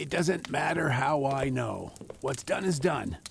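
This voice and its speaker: Over clear background noise, a man does a put-on character voice at a fairly high pitch and a fairly slow pace. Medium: audio drama. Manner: stubborn, wry.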